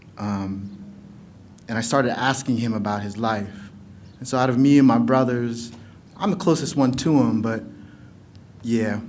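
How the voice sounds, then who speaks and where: A man speaks at a medium pitch and a moderate pace with ordinary pitch variation and long, frequent pauses, with audible room echo. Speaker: poet. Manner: loud.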